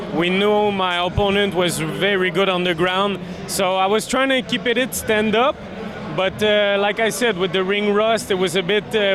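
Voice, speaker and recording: A man with a Quebec accent speaks at a moderate pace, high-pitched for a man, with fairly even intonation and very even loudness. Room echo is audible. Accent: Québécois French accent in English. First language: French. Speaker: MMA fighter. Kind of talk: post-fight interview. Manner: halting, many fillers.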